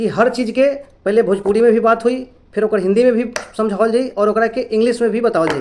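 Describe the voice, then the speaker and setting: A man speaks in an extremely high voice. He has a Bihari accent. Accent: Bhojpuri-accented Hindi and English. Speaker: English teacher. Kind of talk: English lesson to camera. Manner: casual, friendly.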